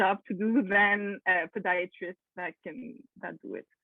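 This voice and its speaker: The speaker has a Quebec accent and fairly even intonation. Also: woman. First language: French. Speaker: podiatrist. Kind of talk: Q&A presentation on video call. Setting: video call. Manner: halting, many fillers.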